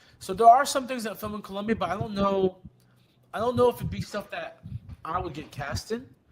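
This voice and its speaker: A man rushes along at a very fast pace while noticeable background noise carries on. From South Florida, Colombian family. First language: Spanish. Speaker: actor. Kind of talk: casual chat. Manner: halting.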